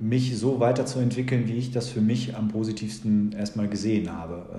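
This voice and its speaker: Room echo is audible as a man speaks with fairly even intonation. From Germany, Sauerland (Lüdenscheid). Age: 40s. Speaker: school principal and mayoral candidate. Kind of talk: podcast interview.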